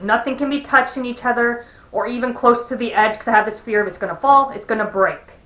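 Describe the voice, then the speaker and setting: A woman's very fast speech with fairly even intonation and big swings in loudness. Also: hardly any pauses. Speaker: vlogger. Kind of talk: personal vlog. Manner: halting, with pauses and repeats.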